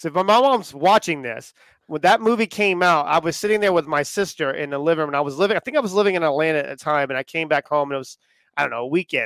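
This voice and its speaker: A man's animated, fairly high voice at a very fast pace with lively intonation, in a dry, close sound with no echo and a very clean recording over a silent background. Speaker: podcast host. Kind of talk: casual live chat. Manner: animated, joking.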